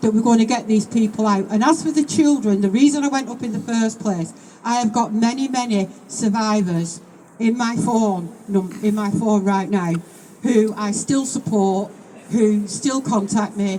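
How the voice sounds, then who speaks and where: With a Manchester accent, the speaker goes at a moderate pace over noticeable background noise. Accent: northern English, Oldham. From northern England, Oldham. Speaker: political speaker at a protest rally. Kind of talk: rally speech. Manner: impassioned, repetitive pleading.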